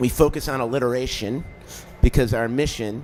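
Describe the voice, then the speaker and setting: A man with a Chicago accent talks at a very fast pace. His medium-pitched voice carries fairly even intonation. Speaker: cannabis media company founder. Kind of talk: interview. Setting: live event.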